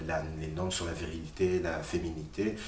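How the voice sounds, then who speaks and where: A man speaks with fairly even intonation amid noticeable background noise and audible room echo. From Belgium, raised from age six; born in Congo. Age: 30s. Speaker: activist. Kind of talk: interview. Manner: hesitant, many fillers.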